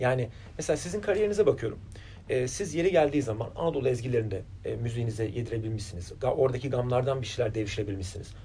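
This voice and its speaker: Over light background noise, a man with a dark, mellow tone and medium pitch talks at a very fast pace, somewhat breathy, with lively intonation. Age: 40s. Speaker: interviewer. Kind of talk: interview. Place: studio.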